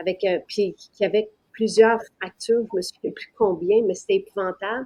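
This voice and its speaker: In a Quebec accent, a woman with a dark, mellow tone speaks at a medium pitch and a moderate pace, her intonation fairly even and her loudness swinging widely. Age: 60s. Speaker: business owner presenting her products. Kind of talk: live-stream sales pitch. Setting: live stream. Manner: hesitant, many fillers.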